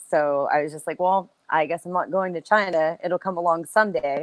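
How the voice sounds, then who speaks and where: A woman with an American accent talks in a plain, everyday voice at a fairly low pitch with ordinary pitch variation, recorded dry and close with no echo. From United States. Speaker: professional wrestler. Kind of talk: interview answer. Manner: casual, chatty.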